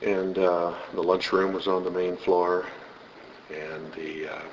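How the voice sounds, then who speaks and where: A man with an American accent and a very deep, low pitch, at a fairly slow pace, with audible room echo and noticeable background noise. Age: 60s. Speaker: interviewee, former student. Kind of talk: oral history interview. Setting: school building foyer.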